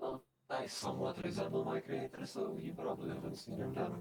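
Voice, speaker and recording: Using a put-on character voice, a man speaks at a very fast pace. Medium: machinima. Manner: evasive, teasing.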